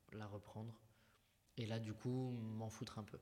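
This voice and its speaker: Monotone and flat in intonation, a man speaks at medium pitch. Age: 20s. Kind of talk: testimony. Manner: halting.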